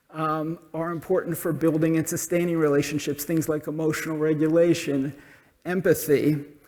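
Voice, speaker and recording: A man with an American accent, a fairly high pitch and monotone, flat intonation. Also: moderate pace. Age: 60s. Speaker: social entrepreneur. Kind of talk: conference talk.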